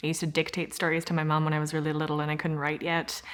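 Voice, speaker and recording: A woman speaks with a Saskatchewan accent. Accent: Canadian (Saskatchewan). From Regina, Saskatchewan, Canada. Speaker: actor, theatre artist. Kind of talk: interview answer. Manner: casual, hesitant.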